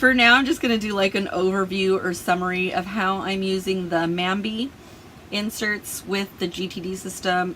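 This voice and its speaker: A woman with an ordinary speaking voice, medium pitch, fairly even intonation and a moderate pace. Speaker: planner and productivity YouTuber. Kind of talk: tutorial. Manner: casual, chatty with fillers.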